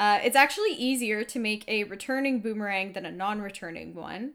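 A woman with an unremarkable speaking voice and a fairly high pitch shows ordinary pitch variation on a very clean recording with a silent background. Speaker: podcast co-host. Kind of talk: casual chat with storytelling. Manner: relaxed, laughs often.

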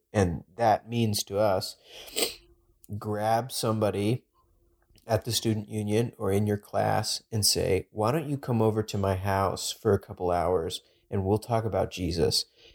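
A man with a normal speaking voice talks with fairly even intonation in a very clean recording with a silent background and a dry, close sound with no echo. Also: fairly low pitch for a man, fairly slow pace. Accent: American. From Texas. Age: 20s. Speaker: podcast co-host, campus ministry intern. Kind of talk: casual chat.

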